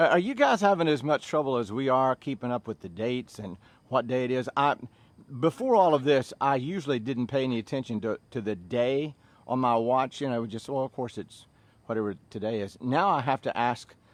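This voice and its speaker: A man speaks in a Southern US accent at a medium pitch and a fairly quick pace, with ordinary pitch variation. The background is quiet and the sound is dry and close, with no echo. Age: 60s. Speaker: fitness instructor. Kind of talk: casual chat. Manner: animated.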